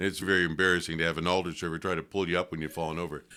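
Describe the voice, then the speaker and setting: A man's very deep, low voice with a western New York accent and a bright, sharp tone, in a very clean recording with a silent background. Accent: western New York American. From US Northeast, western New York (Lockport). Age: 80s+. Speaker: priest. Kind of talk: interview conversation. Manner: reflective, conversational.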